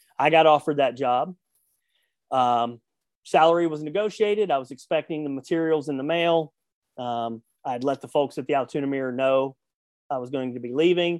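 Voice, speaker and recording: A man speaks at a fairly high pitch with ordinary pitch variation. Long, frequent pauses break up his speech, and the sound is dry and close with no echo. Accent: Southern US. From US South. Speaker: sports journalist and radio host. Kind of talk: interview.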